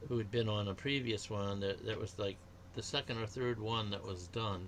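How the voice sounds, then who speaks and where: This man has a fairly low, somewhat breathy voice, speaking at a moderate pace with fairly even intonation. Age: 70s. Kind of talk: casual chat.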